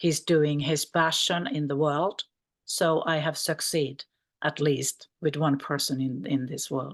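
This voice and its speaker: In a Finnish accent, a woman speaks at a fairly slow pace with a very deep, low pitch and fairly even intonation. The sound is dry and close with no echo, over a quiet background. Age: 50s. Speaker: mental health practitioner. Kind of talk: conference panel talk. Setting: video call.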